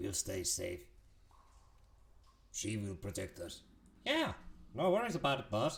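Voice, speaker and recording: A man's put-on character voice, medium in pitch, at a moderate pace with long, frequent pauses. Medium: actual play. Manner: simple, warm, cheerful.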